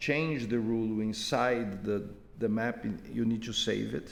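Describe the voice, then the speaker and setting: A man speaks with a non-native accent at a fairly slow pace. Audible room echo surrounds his voice. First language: not English. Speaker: software developer giving user support. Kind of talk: screen-recorded tutorial. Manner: halting, many repetitions.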